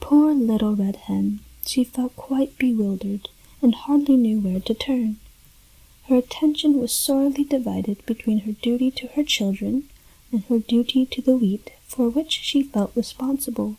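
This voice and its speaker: The speaker is soft-spoken, with a gentle tone and a moderate pace. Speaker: ASMR storyteller. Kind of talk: soft-spoken ASMR story reading. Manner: soft-spoken, gentle.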